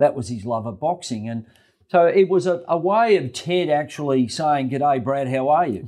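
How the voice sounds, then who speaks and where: With an Australian accent, a man talks in a fairly high pitch, his dark, mellow tone carrying lively intonation. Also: moderate pace. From Australia, Melbourne (West Essendon). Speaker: real estate agent. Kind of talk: interview.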